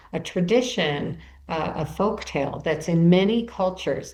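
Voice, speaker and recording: A woman with an American accent speaks at a fairly slow pace with ordinary pitch variation. Room echo is audible. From US Midwest, Chicago. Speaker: author and bereaved mother. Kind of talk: podcast interview. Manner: storytelling, animated.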